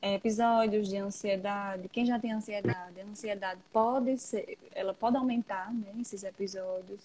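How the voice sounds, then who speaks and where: A soft-spoken woman with a dark, mellow tone, medium pitch and a somewhat breathy quality. She speaks at a moderate pace with fairly even intonation and hardly any pauses. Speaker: psychologist. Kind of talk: interview. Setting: Instagram live video call.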